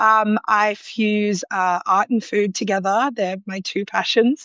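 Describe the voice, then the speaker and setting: A woman speaks with an Australian accent at a fairly slow pace. Her intonation is monotone and flat. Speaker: food illustrator and home cook. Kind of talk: interview. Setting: live online video chat.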